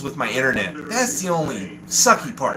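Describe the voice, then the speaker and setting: A man's very wide pitch swings at a moderate pace, with audible room echo and noticeable background noise. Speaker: livestream host. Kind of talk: casual livestream chat. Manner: animated.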